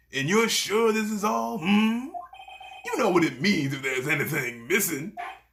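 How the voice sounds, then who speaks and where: A man puts on a character voice, pitched high and delivered at a moderate pace, with audible echo around him. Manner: stern, demanding.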